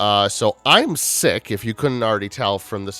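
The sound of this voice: The reading is delivered in an unforced reading voice.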